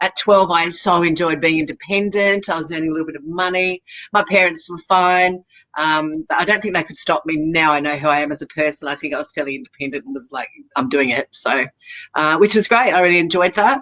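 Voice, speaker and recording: Her tone is bright and sharp, and this woman speaks at a fairly low pitch with an Australian accent. She moves at a fairly quick pace with ordinary pitch variation. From Australia, Sydney. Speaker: makeup artist. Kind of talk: interview. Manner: halting.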